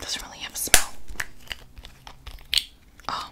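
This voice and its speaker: Whispering comes from a woman here. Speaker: ASMR creator. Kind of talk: ASMR whispered unboxing. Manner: whispered. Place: home room. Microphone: studio mic.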